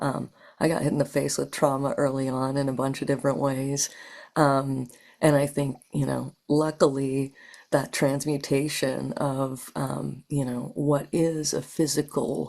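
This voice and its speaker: In a very deep, low pitch, a woman speaks with monotone, flat intonation. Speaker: spiritual practitioner, trauma survivor. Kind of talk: podcast interview.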